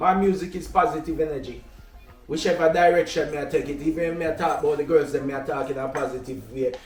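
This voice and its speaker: A man with a fairly high voice speaks at a very fast pace. His intonation stays fairly even over music in the background. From Jamaica. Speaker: reggae/dancehall artist. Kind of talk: interview.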